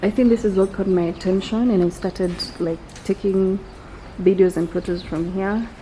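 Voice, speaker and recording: With noticeable noise behind her, a woman whispers at a fairly slow pace. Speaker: vlogger. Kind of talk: casual vlog narration. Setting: outdoors at a nature park. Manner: whispering.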